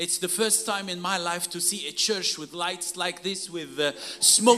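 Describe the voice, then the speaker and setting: A man talks in a raised, projected voice at a moderate pace. Noticeable background noise runs behind him. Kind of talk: sermon, preached in English in short bursts for consecutive translation. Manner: emphatic, call-and-response, pausing after each phrase for the interpreter.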